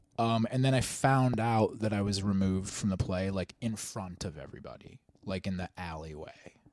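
A normal speaking voice with an American accent, at a moderate pace. There are hardly any pauses, and the pitch varies in an ordinary way. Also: man, fairly low pitch for a man. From Ohio, US. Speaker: podcast co-host, actor. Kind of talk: casual chat. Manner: laid-back, filler-heavy.

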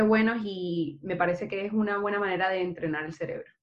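An unremarkable speaking voice from a woman, moderate in pace, medium-pitched, its intonation fairly even. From Barranquilla, Colombia. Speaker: software engineer. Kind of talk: casual chat.

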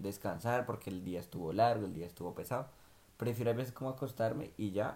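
A man speaks in a fairly low voice with a dark, mellow tone and ordinary pitch variation. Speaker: podcast co-host, migrant worker. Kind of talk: casual chat.

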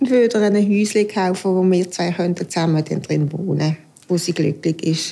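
Speaking at a moderate pace, a woman uses a plain, everyday voice with fairly low pitch, ordinary pitch variation and very even loudness. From Aargau, Switzerland. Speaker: homemaker. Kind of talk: casual interview.

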